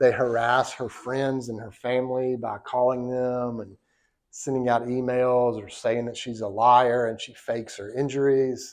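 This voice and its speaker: A man with a Southern US accent speaks at a fairly slow pace and medium pitch. His intonation is monotone and flat, with big swings in loudness. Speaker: law professor. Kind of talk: lecture. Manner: casual, conversational.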